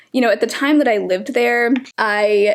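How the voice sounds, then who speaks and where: A woman speaks with an American accent. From US South, metro Atlanta. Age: 20s. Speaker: beauty YouTuber. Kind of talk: casual chat while doing makeup. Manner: chatty, filler-heavy.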